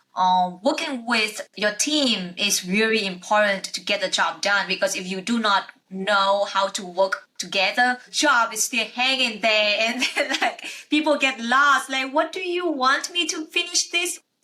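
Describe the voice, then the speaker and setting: A woman speaks with a non-native accent. Her pitch swings very widely. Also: fairly slow pace, hardly any pauses. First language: not English. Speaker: podcast host, accountant. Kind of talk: interview conversation. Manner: halting.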